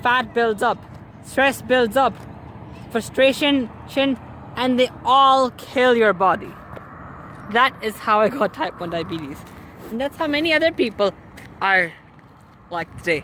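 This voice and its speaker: Noticeable background noise sits behind a woman's high-pitched voice as she speaks with lively intonation at a fairly slow pace, leaving long, frequent pauses. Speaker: cycling vlogger. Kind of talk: casual talk to camera. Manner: hesitant, stuttering at times.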